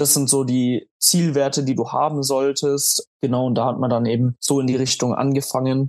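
A man speaks at a moderate pace and medium pitch with hardly any pauses and monotone, flat intonation. His loudness stays very even, in a dry, close sound with no echo. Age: 20s. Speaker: amateur bodybuilder with type 1 diabetes. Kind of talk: casual interview.

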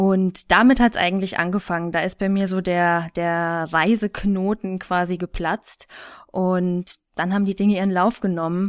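A woman speaks in a flat, monotone way at a moderate pace and a medium pitch. The recording is very clean, with a silent background and a dry, close sound with no echo. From Thuringia, Germany. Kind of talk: casual interview.

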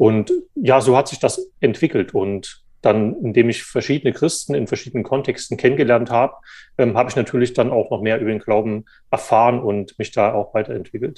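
A man's dark, mellow voice at medium pitch, with ordinary pitch variation and a fairly quick pace, over a quiet background. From eastern Germany, Saxony. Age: 30s. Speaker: journalist, magazine editor. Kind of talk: interview. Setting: remote call. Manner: hesitant, many fillers.

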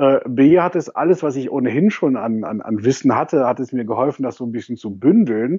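Ordinary pitch variation around a medium pitch, from a man. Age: 30s. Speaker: social media manager. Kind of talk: interview. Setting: Skype call. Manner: hesitant, many filler sounds.

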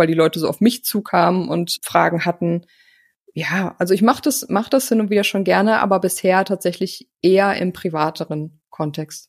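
A woman speaks at a moderate pace in a plain, everyday voice, fairly low in pitch, with ordinary pitch variation. The recording is very clean with a silent background, and the sound is dry and close with no echo. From Germany, North Rhine-Westphalia (Hagen). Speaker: podcast producer and agency owner. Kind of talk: interview conversation.

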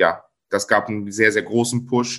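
A man's monotone, flat delivery at a very slow pace against a quiet background. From Germany, Cologne. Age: 30s. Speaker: content creator. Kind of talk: interview.

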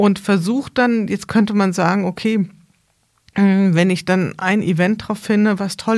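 A woman with a normal speaking voice, medium pitch and fairly even intonation, over a very clean recording with a silent background. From Hesse, Germany (Bad Camberg). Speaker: podcast host and consultant. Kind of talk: casual interview conversation. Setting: studio, in person with host.

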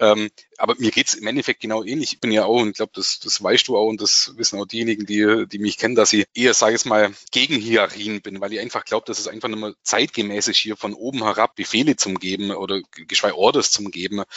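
Very fast delivery with hardly any pauses and fairly even intonation. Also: man, fairly low pitch for a man. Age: 40s. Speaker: tax advisor. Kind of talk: casual chat.

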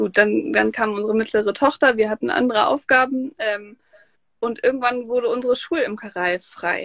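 This woman's voice sits fairly high in pitch. She speaks at a moderate pace. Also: ordinary pitch variation. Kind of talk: interview.

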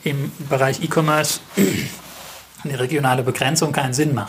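A man at a moderate pace with fairly even intonation, over noticeable background noise. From Germany, Mannheim. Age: 30s. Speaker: family business owner, retailer. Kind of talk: interview. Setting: on location at the store. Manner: hesitant, many filler sounds.

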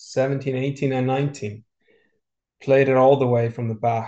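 A man with an Icelandic accent, dark, mellow tone and monotone, flat intonation. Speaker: professional golfer. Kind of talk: interview.

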